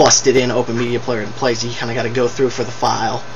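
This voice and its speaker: A man talks at medium pitch, with audible room echo and noticeable background noise around him. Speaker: video blogger. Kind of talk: video response rant. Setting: webcam recording. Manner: fast; animated. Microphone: poor webcam audio.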